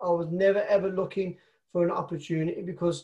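Speaking with a Birmingham accent, this man has a high voice. His pitch sits high for a man. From Birmingham, England. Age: 30s. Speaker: network marketer. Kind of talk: interview conversation.

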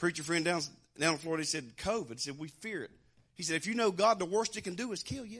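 Talking at a very fast pace with a Southern US accent, a man sounds animated, his high-pitched voice full of lively intonation. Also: quiet background. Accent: Southern American. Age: 60s. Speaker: preacher. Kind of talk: sermon.

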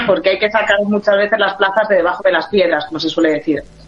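With music in the background, a woman in a Spanish accent talks at a medium pitch with fairly even intonation. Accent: Spanish (Spain). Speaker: tour operator. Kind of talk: radio interview.

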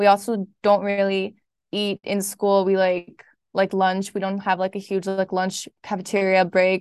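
Recorded with a dry, close sound and no echo, a woman speaks at a medium pitch and a fairly slow pace with monotone, flat intonation. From Berlin, Germany. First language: German. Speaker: student podcast editor. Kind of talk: casual interview.

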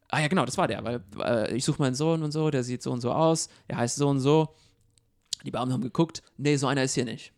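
At a very fast pace, a man speaks in a medium pitch. His pitch variation is ordinary. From abroad, immigrant to Germany. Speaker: podcast co-host. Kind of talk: casual discussion.

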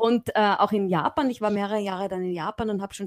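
An ordinary speaking voice from a woman, fairly even in intonation, in a dry, close sound with no echo. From Austria, Graz (Styria). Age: 50s. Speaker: management professor. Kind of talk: interview.

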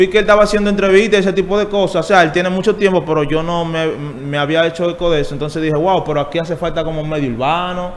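With noticeable background noise behind him, a man talks at a very fast pace in a high pitch. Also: fairly even intonation, hardly any pauses. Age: 20s. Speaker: urban music artist. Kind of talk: interview.

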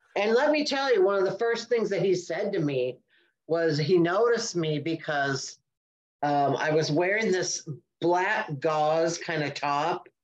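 A woman's fairly low-pitched, unremarkable speaking voice with lively intonation. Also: fairly slow pace. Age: 60s. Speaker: podcast co-host. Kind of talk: casual chat.

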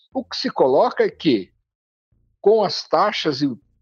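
The man's voice sounds dry and close with no echo, and the background is quiet. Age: 80s+. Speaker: urban transport policy expert, former city official. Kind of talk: interview. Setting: remote recording.

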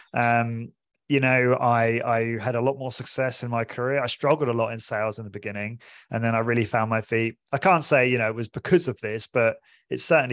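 Against a quiet background, a man with a southern English accent talks at a very fast pace, his medium pitch and intonation fairly even. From southern England (Portsmouth). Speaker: fitness studio owner and podcaster. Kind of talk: interview.

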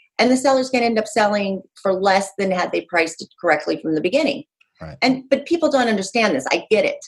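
A woman with an American accent at a very fast pace, medium in pitch with very wide pitch swings. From Utah. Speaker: real estate agent. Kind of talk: podcast interview.

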